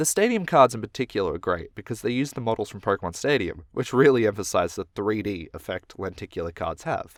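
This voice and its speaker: With an Australian accent and lively intonation, a medium-pitched man talks very fast, recorded very cleanly with a silent background and a dry, close sound with no echo. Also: hardly any pauses. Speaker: YouTuber. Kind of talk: scripted narration.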